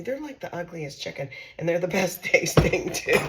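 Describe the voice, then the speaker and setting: A woman speaks at a medium pitch with lively intonation over noticeable background noise. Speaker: home cooking channel host. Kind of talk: casual cooking tutorial. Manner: chatty, conversational with fillers.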